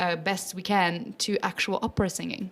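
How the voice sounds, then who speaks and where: Someone talks at a moderate pace in a French accent. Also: woman. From French-speaking Switzerland. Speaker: opera singer and children's music educator. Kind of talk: interview. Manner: animated.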